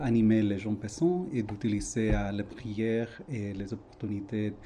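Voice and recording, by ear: Speaking at a moderate pace, a man has a fairly low pitch, ordinary pitch variation and a dark, mellow tone.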